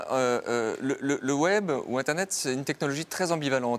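In an ordinary speaking voice, a man talks at a moderate pace with a medium pitch and lively intonation. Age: 40s. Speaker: philosopher and author. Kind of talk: interview.

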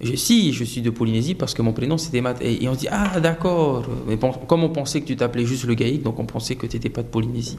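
Over noticeable background noise, a man speaks at a very fast pace. His pitch is medium, with ordinary variation. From French Polynesia (Tahiti). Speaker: interviewee. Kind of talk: interview. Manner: halting, with repetitions.

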